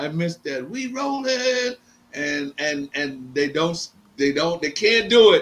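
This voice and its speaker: Through noticeable background noise, a man with a high pitch talks at a very slow pace with very wide pitch swings. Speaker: combat sports event coordinator and former boxing manager. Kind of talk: podcast interview. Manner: animated.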